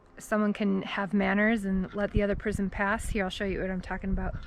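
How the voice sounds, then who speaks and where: This is a woman with a Wisconsin accent. Her pitch sits fairly high. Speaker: vlogger. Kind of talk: casual vlog narration. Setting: outdoors on a trail. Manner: casual, chatty.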